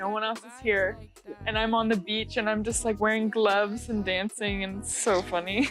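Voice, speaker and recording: Against music in the background, a woman with an American accent speaks at a moderate pace in a fairly high, monotone, flat voice with big swings in loudness. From Oregon, USA. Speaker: singer-songwriter. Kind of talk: interview answer. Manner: casual, chatty.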